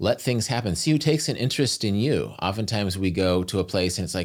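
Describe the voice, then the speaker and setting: Vocal fry colors a man's lively intonation as he talks at a very fast pace. The recording is very clean, with a silent background. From US Midwest. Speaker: travel writer. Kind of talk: casual chat.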